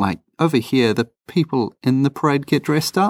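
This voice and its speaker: Delivered at a moderate pace, the speech comes in a New Zealand accent. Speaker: travel podcast co-host. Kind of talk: casual chat. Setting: holiday home, recording under a blanket. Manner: animated.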